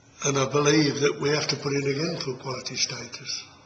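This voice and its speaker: Fairly high for a man, the voice stays monotone and flat. Audible room echo and noticeable background noise come through. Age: 70s. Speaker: parish council chairman. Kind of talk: interview.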